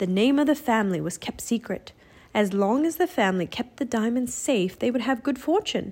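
The intonation here rises and falls in a lively way. It is a natural reading voice.

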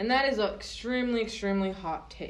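With audible room echo, a woman speaks at a fairly quick pace in a fairly high pitch. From Southern California. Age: 20s. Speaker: student podcast co-host. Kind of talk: casual chat.

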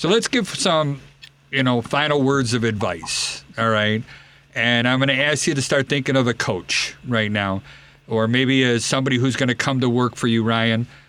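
A man with an ordinary speaking voice, medium pitch, ordinary pitch variation, very even loudness and a moderate pace. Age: 30s. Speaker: radio host and home inspector. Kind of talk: radio talk show. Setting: studio.

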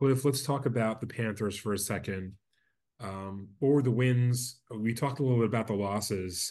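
A man with an American accent speaks at a moderate pace in an ordinary speaking voice, his intonation fairly even, against a quiet background. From Brooklyn, New York. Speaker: rabbi and podcast host. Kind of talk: interview.

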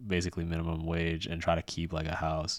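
With an American accent, a man talks in a very deep, low pitch. His intonation is flat and monotone. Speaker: podcast co-host. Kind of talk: casual chat.

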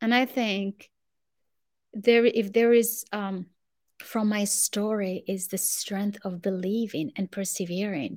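A woman talks at a medium pitch. She moves at a very slow pace. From Morocco. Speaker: author and CEO, women's empowerment coach. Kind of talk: interview, storytelling. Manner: animated, warm.

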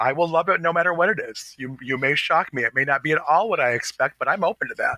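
Speaking at a fairly quick pace with an American accent, a man uses a high pitch and lively intonation. His tone is bright and sharp, the sound dry and close with no echo. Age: 50s. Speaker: fashion podcast co-host. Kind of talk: casual chat.

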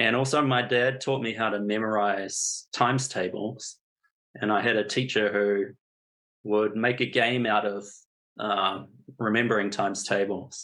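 A man with a New Zealand accent speaks at a fairly slow pace in a bright, sharp tone, his fairly low pitch held in a fairly even intonation. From New Zealand (Napier). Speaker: statistician and data analyst. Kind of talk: interview.

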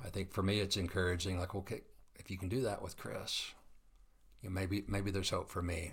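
This man speaks fairly quickly with fairly even intonation. His very deep, low voice is somewhat breathy. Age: 50s. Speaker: interviewer, coffee company leader. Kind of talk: casual interview.

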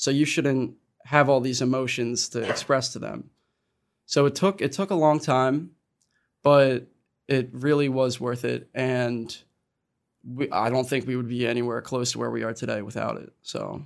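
At a moderate pace, a man speaks at medium pitch with fairly even intonation and long, frequent pauses. The recording is very clean, with a silent background. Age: 20s. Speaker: college student, son of parent in recovery. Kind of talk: casual panel conversation.

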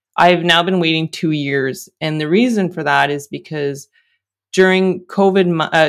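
A woman with an unremarkable speaking voice talks at a fairly low pitch with ordinary pitch variation in a very clean recording with a silent background. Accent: Canadian. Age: 40s. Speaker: engineer and cancer patient. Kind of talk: interview testimony.

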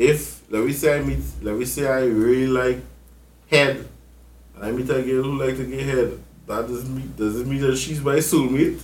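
Audible room echo surrounds a man speaking at a moderate pace and medium pitch. His delivery is monotone and flat, and somewhat breathy. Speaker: podcast host. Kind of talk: casual chat.

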